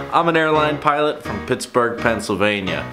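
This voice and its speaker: A man talks while clear music sounds behind him. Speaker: airline pilot vlogger. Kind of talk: casual vlog chat.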